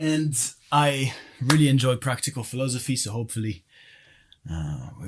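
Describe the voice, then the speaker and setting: A man's lively intonation comes through in a somewhat breathy voice. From France. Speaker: podcast guest. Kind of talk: casual chat. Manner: halting, many fillers. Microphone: far from the mic.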